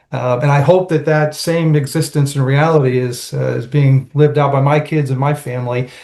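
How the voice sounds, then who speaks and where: Somewhat breathy and dark, mellow in tone, a man speaks at a fairly quick pace and a fairly high pitch with fairly even intonation. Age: 60s. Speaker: nonprofit and public policy professional. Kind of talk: panel discussion. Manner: halting.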